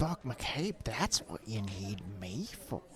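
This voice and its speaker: Using a put-on character voice, a man speaks at a very slow pace with very wide pitch swings over clear background noise. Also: medium pitch for a man. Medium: actual play. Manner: smooth, insinuating.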